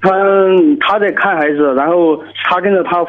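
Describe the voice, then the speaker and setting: A man speaks over noticeable background noise. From Sichuan, China. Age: 30s. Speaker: soldier calling in for advice. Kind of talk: call-in advice conversation. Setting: phone call. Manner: halting, repeats words.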